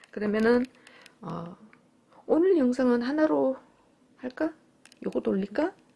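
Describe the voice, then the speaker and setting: An animated, high-pitched female voice with very wide pitch swings and long, frequent pauses. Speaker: cosplay and sewing YouTuber; sewing YouTuber. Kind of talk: casual unboxing vlog. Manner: animated, frequent laughter. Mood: cheerful, delighted. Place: home room. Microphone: phone near.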